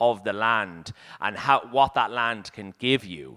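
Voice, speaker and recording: At a fairly slow pace, a man speaks at medium pitch in a bright, sharp tone on a very clean recording with a silent background. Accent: Dublin. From Dublin, Ireland. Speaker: chef and cookbook writer. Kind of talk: panel talk. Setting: stage with audience. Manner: halting.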